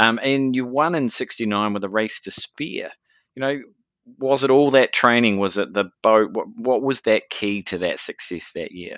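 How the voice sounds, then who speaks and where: A man with a New Zealand accent speaks at a moderate pace and medium pitch, with ordinary pitch variation, in a dry, close recording with no echo and a quiet background. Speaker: podcast host. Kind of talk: interview; scripted narration.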